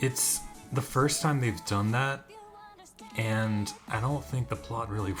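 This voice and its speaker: Music plays in the background as a man speaks at a moderate pace. His pitch is medium, with ordinary variation. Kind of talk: casual commentary to camera. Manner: casual, hesitant.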